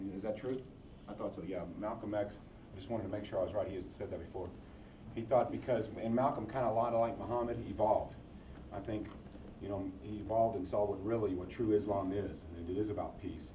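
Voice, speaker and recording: A man with a fairly low voice talks at a very fast pace and fairly even intonation. Audible room echo and noticeable background noise fill the recording. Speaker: board member of the center, hosting visitors. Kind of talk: casual Q&A with visiting group.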